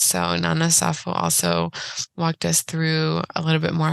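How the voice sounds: A woman's raspy voice with vocal fry, low pitch, a fairly bright tone, little pitch movement, and a fairly slow pace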